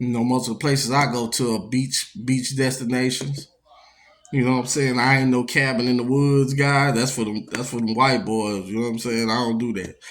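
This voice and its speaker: Fairly quick speech from a man at medium pitch, monotone and flat in intonation. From Louisiana, Baton Rouge. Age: 40s. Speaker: podcast host. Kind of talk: casual monologue. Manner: laid-back, conversational.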